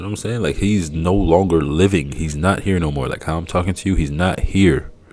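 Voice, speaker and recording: Someone with a Haitian accent talks at a moderate pace over noticeable background noise. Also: man. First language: Haitian Creole. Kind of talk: casual commentary. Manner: halting, repetitive.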